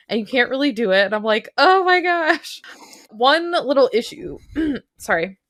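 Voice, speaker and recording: This woman has a high pitch. Her voice moves in very wide pitch swings. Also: moderate pace. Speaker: VR podcast co-host. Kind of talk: casual chat. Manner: pitch goes up and down a lot; animated.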